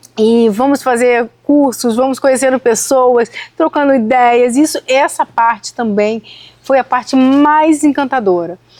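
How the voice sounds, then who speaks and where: A woman with a Rio de Janeiro accent talks at a fairly slow pace and high pitch, with ordinary pitch variation and very even loudness, in a dry, close sound with no echo. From Rio de Janeiro, Brazil. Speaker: citrus farmer. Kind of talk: podcast interview.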